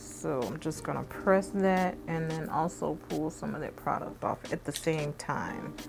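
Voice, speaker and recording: A woman talks at a fairly slow pace while faint music plays behind her. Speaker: beauty vlogger. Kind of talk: makeup tutorial. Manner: casual, chatty; voice lowers when concentrating. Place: home room.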